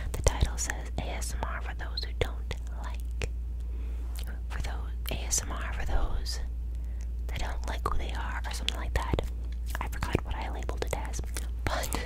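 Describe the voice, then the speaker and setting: Soft-spoken and at a moderate pace, the speaker leaves long, frequent pauses over loud background noise. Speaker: ASMR creator. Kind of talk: soft ASMR affirmations. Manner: soft close-mic ASMR talk. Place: home room. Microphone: studio mic.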